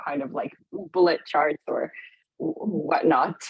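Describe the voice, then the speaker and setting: Speaking with a non-native accent, a woman uses a fairly low pitch and ordinary pitch variation. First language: not English. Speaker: event moderator. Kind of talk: interview questions.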